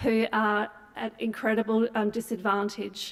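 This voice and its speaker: Speaking in an Australian accent, a woman keeps her voice at a fairly high pitch. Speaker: nonprofit CEO, keynote speaker. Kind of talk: conference talk. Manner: halting, many fillers.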